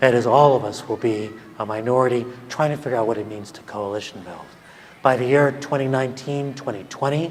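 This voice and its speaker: Speaking at a fairly quick pace with an American accent, a man is heard amid noticeable background noise and audible room echo. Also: medium pitch for a man, ordinary pitch variation. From California. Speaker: professor and keynote speaker. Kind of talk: keynote speech.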